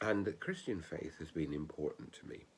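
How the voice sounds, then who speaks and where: A man talks with vocal fry at a very deep, low pitch. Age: 60s. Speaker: ordained minister. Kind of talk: spoken reflection.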